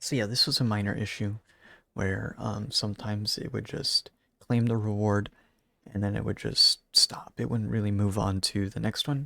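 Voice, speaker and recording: A man speaks quietly at a moderate pace. The sound is dry and close with no echo, on a very clean recording with a silent background. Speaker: gaming YouTuber. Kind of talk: gameplay commentary. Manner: quiet, subdued.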